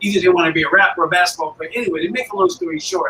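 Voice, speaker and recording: A man with a Chicago accent speaks in a raised, projected voice at a high pitch, with ordinary pitch variation. Noticeable background noise is present. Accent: Chicago American English. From US Midwest, Chicago area. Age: 60s. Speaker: motorcycle club founder. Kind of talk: interview.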